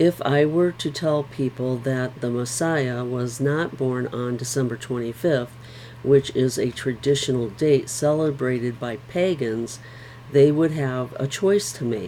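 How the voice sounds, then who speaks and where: A woman at a fairly slow pace with ordinary pitch variation, amid noticeable background noise. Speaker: Bible reading vlogger. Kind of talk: reading aloud with discussion. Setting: home bedroom. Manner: halting.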